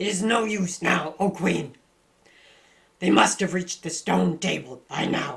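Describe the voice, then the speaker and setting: Putting on a raspy, high-pitched character voice, a man talks at a moderate pace with long, frequent pauses. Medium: read story.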